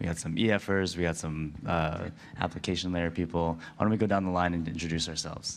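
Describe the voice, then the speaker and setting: A man talks at a very fast pace in a very deep, low, monotone, flat voice. Audible room echo surrounds him. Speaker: crypto researcher. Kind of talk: panel discussion. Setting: stage with audience.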